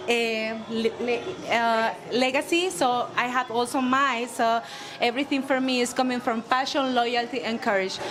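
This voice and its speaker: Music plays behind a woman speaking in a high pitch. Her pace is fairly slow and her intonation fairly even. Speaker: cigar company owner. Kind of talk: panel introduction speech. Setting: cigar bar event with audience. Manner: halting.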